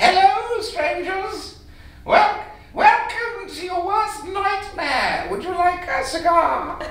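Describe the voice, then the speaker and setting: Delivered at a very slow pace, this put-on character voice sits at an extremely high pitch, with slight echo and clear background noise. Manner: menacing, theatrical.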